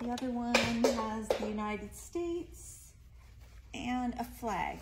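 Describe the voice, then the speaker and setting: Speech comes at a very slow pace over light background noise. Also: woman. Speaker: presenter. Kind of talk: product showcase live stream. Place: shop. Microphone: phone near.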